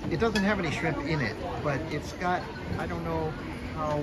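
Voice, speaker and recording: A man speaking very slowly over crowd noise in the background. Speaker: travel vlogger. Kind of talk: casual vlog chat. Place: street. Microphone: phone near.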